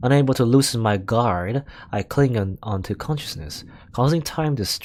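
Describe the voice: Text read aloud plainly.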